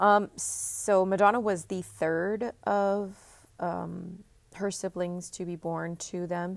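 In an American accent, a woman speaks at a medium pitch and a very slow pace, her intonation monotone and flat. The recording is very clean, with a silent background. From Texas. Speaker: podcast host. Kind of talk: solo podcast monologue. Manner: hesitant, many fillers.

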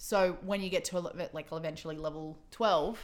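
Moderate pace and fairly low pitch in a woman's voice. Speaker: podcast host. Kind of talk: casual chat. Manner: loud.

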